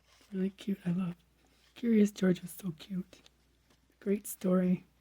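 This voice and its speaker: Her voice dark, mellow and somewhat breathy, a woman speaks at a medium pitch and fairly slow pace in a flat monotone, the sound dry and close with no echo. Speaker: crafting vlogger. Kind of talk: casual show-and-tell. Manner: casual, chatty.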